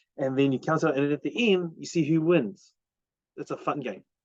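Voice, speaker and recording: A man is speaking. He has a New Zealand accent. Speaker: parenting vlogger. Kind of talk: casual monologue. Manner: halting, with many fillers.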